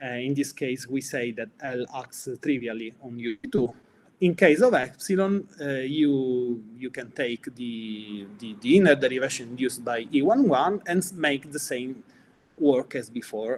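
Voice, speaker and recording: Fairly slow speech from a man at medium pitch, with ordinary pitch variation and big swings in loudness. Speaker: mathematician. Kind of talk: lecture. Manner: halting.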